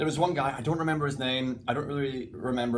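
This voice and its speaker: The voice has a central Lowlands Scottish accent and a very fast pace. Pitch variation is ordinary, and room echo is audible. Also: man. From Scotland, between Glasgow and Edinburgh. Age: 30s. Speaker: mentalist and stage performer. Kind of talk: casual interview chat. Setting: dressing room between shows.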